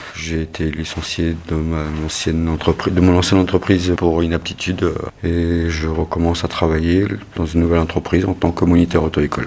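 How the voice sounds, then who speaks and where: Noticeable background noise sits under a man's very deep, low voice, delivered in a flat monotone. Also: moderate pace. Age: 40s. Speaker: injured delivery driver retraining as driving instructor. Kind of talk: personal testimony.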